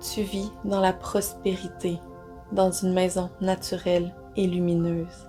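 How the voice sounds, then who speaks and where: A woman speaks at a very slow pace in a calm, soothing tone while music plays in the background. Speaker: guided meditation guide. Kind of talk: guided meditation with positive affirmations. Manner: calm, soothing, slow.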